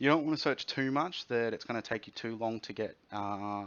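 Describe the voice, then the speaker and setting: Talking at a fairly quick pace, a man with an Australian accent uses ordinary pitch variation. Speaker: software developer. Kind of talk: tutorial.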